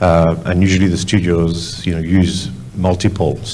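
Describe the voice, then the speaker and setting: With a French accent, a man talks in a very deep, low voice at a moderate pace. Audible room echo and noticeable background noise fill the recording. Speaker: visual effects studio executive. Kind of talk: panel discussion. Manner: halting.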